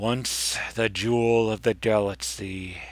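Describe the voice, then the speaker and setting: Put-on character voice from a man, medium in pitch, at a fairly slow pace. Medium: read story. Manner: grand, solemn, storytelling.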